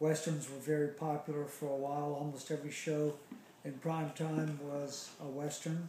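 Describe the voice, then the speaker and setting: The speech moves at a moderate pace in a flat monotone, with audible room echo and noticeable background noise. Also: man, fairly high pitch for a man. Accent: American. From US South, Charleston, South Carolina. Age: 60s. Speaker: interviewee recalling childhood. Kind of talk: oral history interview. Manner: hesitant, many fillers.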